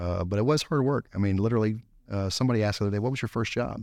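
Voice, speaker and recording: Against a quiet background, a man with a Texan accent speaks at a fairly low pitch. His intonation is fairly even. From Texas, Gonzales. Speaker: company executive. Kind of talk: interview. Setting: studio. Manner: halting.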